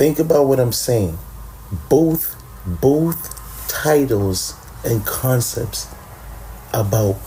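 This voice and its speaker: Over noticeable background noise, a man speaks at a very slow pace with long, frequent pauses and very even loudness. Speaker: podcast host. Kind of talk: casual chat. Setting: late-night home recording with co-host. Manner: low-key, laid back; animated.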